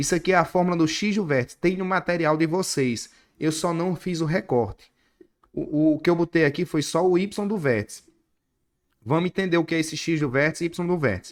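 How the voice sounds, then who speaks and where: A man with a high pitch talks fairly quickly, his pitch varying in an ordinary way. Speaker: math teacher. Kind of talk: online class lecture. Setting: online class with screen share. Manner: animated.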